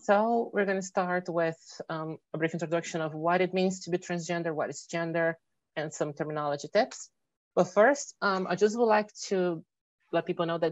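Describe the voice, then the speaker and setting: A woman with a fairly low voice speaks at a fairly quick pace with ordinary pitch variation. The sound is dry and close with no echo, over a quiet background. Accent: Portuguese. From Brazil. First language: Portuguese. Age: 30s. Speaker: electrical engineer. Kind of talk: presentation. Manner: fast.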